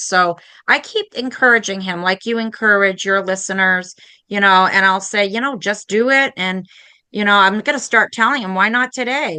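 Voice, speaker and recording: Against a quiet background, a woman speaks at a medium pitch in a bright, sharp tone with ordinary pitch variation. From Maine. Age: 50s. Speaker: podcast host and painting teacher. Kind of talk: casual interview chat.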